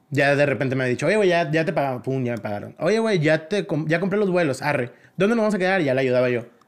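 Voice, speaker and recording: Here a man talks at a very fast pace. His fairly high voice carries lively intonation. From Mexico, La Paz, Baja California Sur. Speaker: choreographer and dance academy director. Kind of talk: casual chat. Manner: animated.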